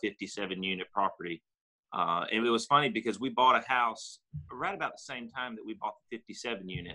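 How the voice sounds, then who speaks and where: A man speaks in a Southern US accent at a medium pitch. He keeps a moderate pace, and the background is quiet. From Tennessee (Cleveland). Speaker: real estate investor and insurance agency owner. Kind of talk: interview. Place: home room. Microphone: video call.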